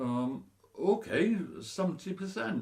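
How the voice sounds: A man puts on a character voice, fairly high-pitched with vocal fry and a slightly mellow tone. He speaks slowly, his pitch swinging widely.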